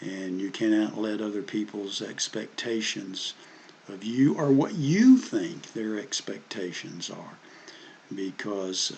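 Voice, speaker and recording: With a Southern US accent, a man talks at a fairly slow pace, his fairly low pitch showing ordinary pitch variation. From US South. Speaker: history commentator. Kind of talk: casual monologue. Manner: halting, many fillers and repeats.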